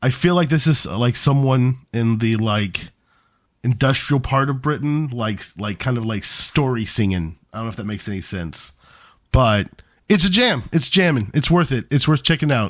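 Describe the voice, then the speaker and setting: In a very clean recording with a silent background, a man with a plain, everyday voice speaks at a moderate pace and medium pitch with lively intonation. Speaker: podcast co-host. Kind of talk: casual chat.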